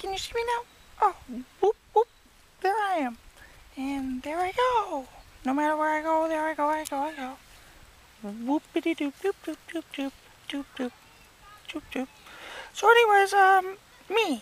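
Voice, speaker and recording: The speaker uses a cartoonish character voice with a high pitch at a moderate pace. Long, frequent pauses break up the speech. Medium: puppet. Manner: rambling, self-absorbed.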